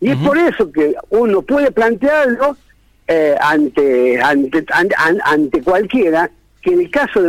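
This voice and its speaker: Here a man talks at a high pitch and a moderate pace. His pitch swings very widely. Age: 60s. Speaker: teachers' union leader. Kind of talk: radio interview. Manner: halting.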